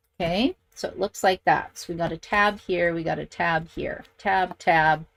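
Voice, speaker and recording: A woman speaks at a fairly slow pace. The sound is dry and close, with no echo. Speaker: craft instructor. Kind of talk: tutorial. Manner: chatty.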